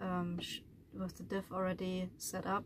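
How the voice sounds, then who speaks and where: Noticeable noise is audible in the background. Through it, a woman talks. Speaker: van dweller vlogger. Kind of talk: casual vlog chat. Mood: frustrated, exasperated. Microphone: phone near.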